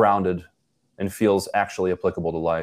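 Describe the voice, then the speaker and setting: A man speaks with a Western New York accent. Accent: Western New York (Inland North) American. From Buffalo, New York. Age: 30s. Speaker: youth ministry director. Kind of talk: casual interview conversation. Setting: remote call.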